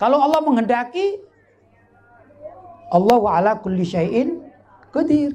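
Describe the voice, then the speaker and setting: A man's extremely high-pitched voice with very wide pitch swings, a fairly slow pace, long, frequent pauses and audible room echo. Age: 50s. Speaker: Islamic preacher. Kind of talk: sermon. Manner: conversational, engaging audience.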